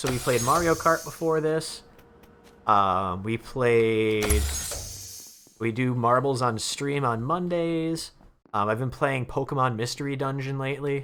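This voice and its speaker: A man speaks at a medium pitch with ordinary pitch variation. Noticeable background noise runs under his voice. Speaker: game streamer. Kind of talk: live stream gaming chat. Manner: fast; casual, halting.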